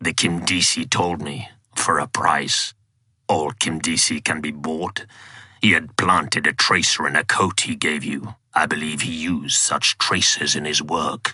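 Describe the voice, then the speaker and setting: In a put-on character voice, a man growls with a raspy, very deep, low pitch at a moderate pace. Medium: read story. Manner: formal, archaic.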